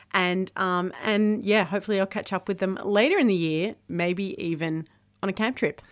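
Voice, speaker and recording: In a very clean recording with a silent background, a woman with an Australian accent talks at a moderate pace. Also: medium pitch for a woman, ordinary pitch variation. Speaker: science radio co-host. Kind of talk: interview. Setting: studio.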